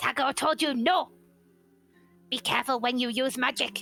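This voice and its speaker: A female-sounding, put-on character voice sits high in pitch. Faint music plays in the background. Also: moderate pace. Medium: actual play. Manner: terse, clipped.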